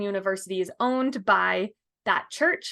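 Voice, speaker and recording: A woman speaks in a plain, everyday voice, fairly high in pitch with ordinary pitch variation. The background is quiet. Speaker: local real estate guide. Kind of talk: screen-share tour narration. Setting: screen share over map. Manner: casual with fillers.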